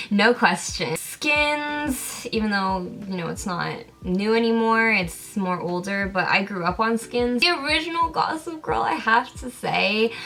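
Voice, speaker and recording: A woman with a Californian accent, fairly high pitch and very wide pitch swings, speaking at a fairly slow pace over noticeable background noise. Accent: Californian-sounding American. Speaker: film and TV YouTuber. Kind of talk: casual Q&A vlog. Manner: animated.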